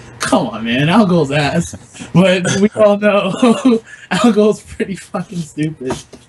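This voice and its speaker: This man talks very slowly, his pitch high and his intonation lively. Noticeable background noise runs underneath. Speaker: competitive fighting game player. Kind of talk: casual chat.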